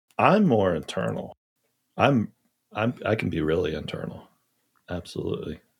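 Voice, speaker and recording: A man with a very deep, low pitch and an American accent speaks at a moderate pace with vocal fry, very wide pitch swings, and long, frequent pauses. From US South, Charleston, South Carolina. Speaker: podcast guest. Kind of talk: casual interview chat. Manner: halting.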